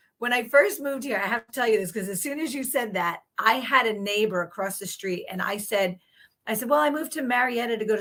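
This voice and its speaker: An animated woman talks at a fairly quick pace with an American accent and a fairly high pitch. Her intonation is lively and her tone is bright and sharp. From Long Island, New York. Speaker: podcast host, chiropractor. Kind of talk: interview.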